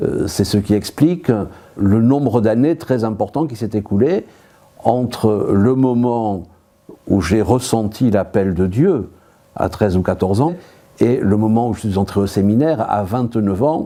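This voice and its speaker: Speaking at a fairly slow pace with long, frequent pauses, a man has a medium pitch, a dark, mellow tone, and ordinary pitch variation. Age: 60s. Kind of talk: interview testimony. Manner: hesitant, with frequent filler sounds.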